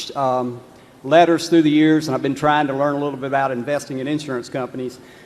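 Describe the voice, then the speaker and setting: A man with a North Carolina accent amid noticeable background noise. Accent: Southern US (North Carolina). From North Carolina, Lexington. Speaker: shareholder asking a question. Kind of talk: audience question. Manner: hesitant, many fillers.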